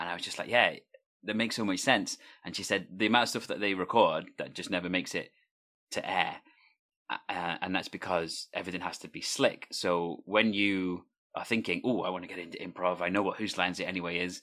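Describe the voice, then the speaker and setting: A man's very deep, low voice with a bright, sharp tone, a fairly quick pace and fairly even intonation, on a very clean recording with a silent background. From Wales. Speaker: podcast host and improviser. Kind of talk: casual interview.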